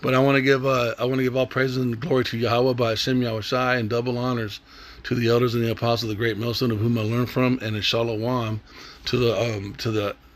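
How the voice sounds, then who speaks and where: A man rattles along very fast while noticeable noise fills the background. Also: medium pitch for a man. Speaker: religious teacher. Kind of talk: bible lesson. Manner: animated.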